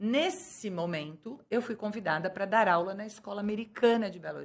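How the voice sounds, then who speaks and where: A woman talks at a fairly quick pace with a medium pitch. She has an ordinary speaking voice, with ordinary pitch variation. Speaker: businesswoman and bilingual school owner. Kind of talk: interview.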